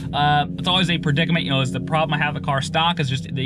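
Noticeable background noise behind a man's voice, dry and free of echo. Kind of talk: casual vlog chat.

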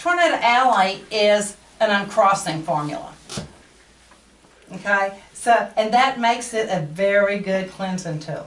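Speaking with a Texan accent and lively intonation, the voice moves at a fairly slow pace with long, frequent pauses and audible room echo. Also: woman. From Texas. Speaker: workshop speaker and candle seller. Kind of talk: talk to a small audience. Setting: live talk to small audience. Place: shop. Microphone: camera far.

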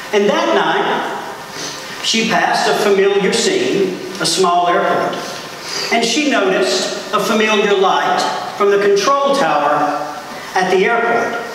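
Over light background noise and strong room echo, a man with a high pitch speaks at a very slow pace with ordinary pitch variation. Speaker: priest. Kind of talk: sermon. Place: church. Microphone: camera far.

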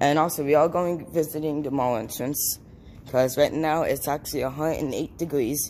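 Light background noise runs under speech delivered at a moderate pace. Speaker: urban explorer vlogger. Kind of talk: casual vlog chat. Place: street. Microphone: phone near.

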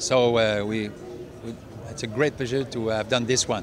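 In a Quebec accent, a man speaks at a moderate pace with fairly even intonation, the sound dry with no echo and noticeable background noise behind it. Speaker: film director. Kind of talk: speech to audience. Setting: stage with audience. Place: hall.

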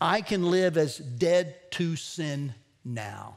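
The background is quiet. A man speaks with lively intonation. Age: 50s. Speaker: pastor. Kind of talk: sermon. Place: church.

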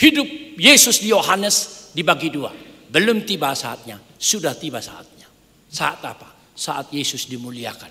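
At a fairly slow pace, a man with a fairly high pitch speaks in an animated tone, his voice showing very wide pitch swings and big swings in loudness. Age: 60s. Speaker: pastor. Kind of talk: sermon. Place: church. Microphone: podium.

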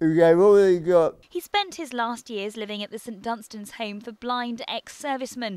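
With a British accent, a woman speaks fairly high in pitch in a dark, mellow tone. Her intonation is lively, her pace fairly slow with hardly any pauses. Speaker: news reporter. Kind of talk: news reading, scripted TV news report narration. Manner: formal, measured, steady broadcast delivery.

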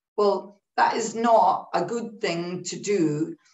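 A woman speaks with ordinary pitch variation against a quiet background, with audible room echo. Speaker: broadcasting executive. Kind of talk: online panel talk. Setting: video call. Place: home room.

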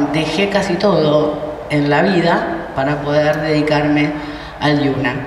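A woman's very deep, low voice, very slow and fairly even in intonation, with audible room echo and noticeable background noise. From Argentina, Buenos Aires area. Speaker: university rector. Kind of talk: conference talk. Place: hall. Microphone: handheld.

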